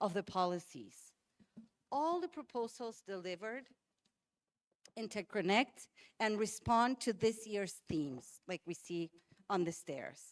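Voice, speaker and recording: A woman with a Spanish accent speaks at a fairly slow pace with very wide pitch swings, in a dry, close sound with no echo and a very clean recording with a silent background. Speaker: health NGO advocate. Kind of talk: prepared speech.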